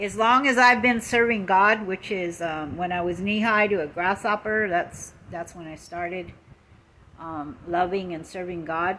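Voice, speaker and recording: A woman with an American accent speaks at a fairly slow pace in a bright, sharp tone. Her pitch is medium, and her loudness swings widely. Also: ordinary pitch variation. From Lakota, US Great Plains. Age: 60s. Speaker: social media live streamer. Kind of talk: casual live stream monologue. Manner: halting, many fillers.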